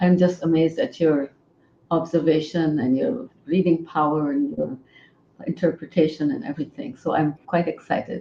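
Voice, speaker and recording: A woman with a Pakistani accent speaks at a moderate pace, her pitch fairly low. Her tone is dark and mellow, and her pitch swings very widely. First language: Urdu. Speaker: author and poet. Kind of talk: interview.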